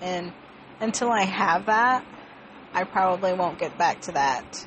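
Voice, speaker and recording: Over noticeable background noise, a woman speaks in a fairly low pitch with lively intonation. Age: 20s. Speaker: podcaster. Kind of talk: personal monologue. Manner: rambling.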